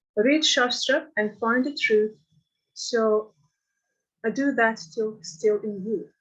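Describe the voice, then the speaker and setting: Using a non-native accent, a woman speaks at a very slow pace with long, frequent pauses. Her pitch is fairly high, with ordinary variation. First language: not English. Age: 60s. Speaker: devotee reading own poem. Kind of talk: reading aloud.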